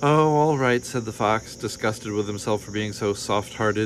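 Ordinary pitch variation in plain reading aloud

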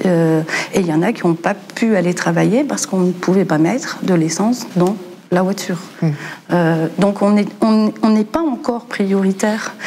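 Lively intonation marks this woman's fairly slow speech, her loudness very even over light background noise. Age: 50s. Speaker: home care worker; guest. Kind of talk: panel discussion. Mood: earnest, concerned. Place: studio.

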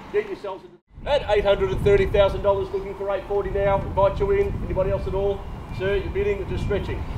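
The man talks very fast while noticeable background noise carries on around him. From Australia. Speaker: property auctioneer and agency director. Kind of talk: live property auction call. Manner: fast, rhythmic, persuasive. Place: street. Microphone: camera far.

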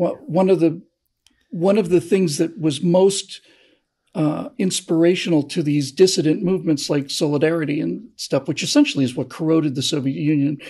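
The man's tone is dark and mellow, heard over a quiet background. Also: ordinary pitch variation, moderate pace. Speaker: co-host, political commentator. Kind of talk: political monologue, speechifying. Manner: earnest, oratorical, repeating words while thinking. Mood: earnest, persuasive. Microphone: video call.

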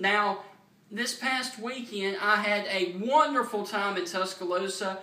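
Over noticeable background noise, a man with a Southern US accent and a high pitch sounds animated, his voice raised and projected, moving at a fairly slow pace with ordinary pitch variation. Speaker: sports fan vlogger. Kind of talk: angry rant, loud fan tirade with mock-cheerful opening, then fired-up football trash talk. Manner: emphatic, boastful.

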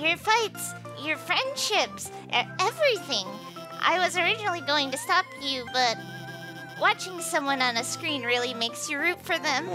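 Over clear music in the background, a man uses a put-on character voice with an extremely high pitch at a moderate pace. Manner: awkward, rambling, nervous.

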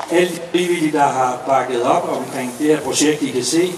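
Noticeable background noise accompanies a man speaking with fairly even intonation. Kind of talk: welcome speech. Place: street.

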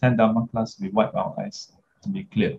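Over light background noise, a man talks in a somewhat breathy voice. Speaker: dharma teacher. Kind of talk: lecture. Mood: warm, laughing. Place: home room. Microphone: webcam.

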